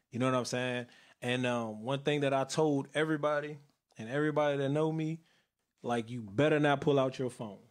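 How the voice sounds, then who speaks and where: A plain, everyday voice from a man, fairly high in pitch, at a fairly quick pace with fairly even intonation, in a very clean recording with a silent background. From Northern Virginia (Woodbridge area). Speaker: youth outreach organizer and internet radio host. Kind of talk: casual interview.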